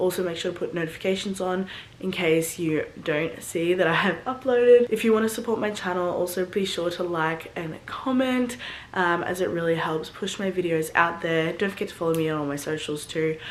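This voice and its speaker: Over noticeable background noise and audible room echo, a woman talks at a fairly quick pace with an Australian accent. Her pitch is fairly low and varies in an ordinary way. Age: 20s. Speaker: online fitness coach and vlogger. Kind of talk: casual vlog talk. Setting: at home. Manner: quiet.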